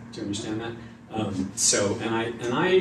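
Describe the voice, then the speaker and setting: Noticeable noise can be heard in the background. The talking is fairly quick. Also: man. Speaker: psychic medium. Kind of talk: live mediumship demonstration to audience. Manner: hesitant, conversational.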